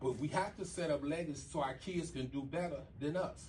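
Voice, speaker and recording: A man talks with an American accent and ordinary pitch variation. It is a normal speaking voice. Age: 60s. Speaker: real estate broker. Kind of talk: seminar talk.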